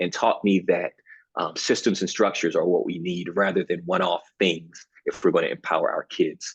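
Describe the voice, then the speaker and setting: Speaking at a fairly quick pace with a Baltimore accent, a man is heard in a dry, close sound with no echo. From Baltimore, Maryland, US. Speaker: university program director, former teacher. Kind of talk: panel webinar introduction. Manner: animated, informal.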